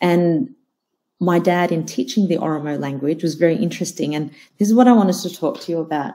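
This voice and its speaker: A woman speaks fairly quickly in a dark, mellow tone with a passionate edge and lively intonation. The background is quiet. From Australia. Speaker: psychologist and keynote speaker. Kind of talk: keynote talk. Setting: online conference. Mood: warm, smiling. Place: home room.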